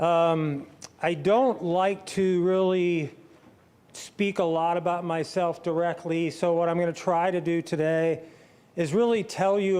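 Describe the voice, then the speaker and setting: The speech has a Midwestern American accent and fairly even intonation. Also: man. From St. Louis area, Missouri. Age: 60s. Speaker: former pro athlete and author. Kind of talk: testimony talk. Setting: stage with audience. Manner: casual.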